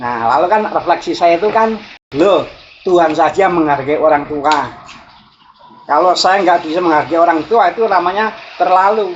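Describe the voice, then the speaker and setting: The speaker has a strong Javanese accent and talks at a moderate pace. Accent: strong Javanese accent, also in Sundanese. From Java (Javanese). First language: Javanese (speaking Indonesian). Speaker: spiritual teacher. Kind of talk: reflective talk. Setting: outdoors, walking.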